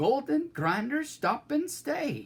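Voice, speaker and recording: The voice is a put-on character. Its pitch is high. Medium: read story.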